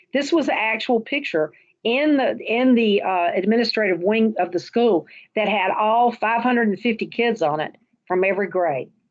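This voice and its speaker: A woman's fairly high voice with lively intonation. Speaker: school principal, education presenter. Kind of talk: presentation. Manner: fast.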